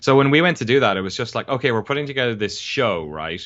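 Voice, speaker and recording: The speech moves at a very fast pace in an Irish accent. Pitch varies in an ordinary way. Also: man. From Ireland. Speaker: documentary filmmaker, games journalist. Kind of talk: interview conversation. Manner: casual, with frequent fillers and restarts.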